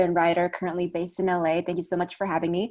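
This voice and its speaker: Music plays behind a woman as she talks. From Indonesia. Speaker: actor and writer. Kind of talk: panel discussion. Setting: video call webinar.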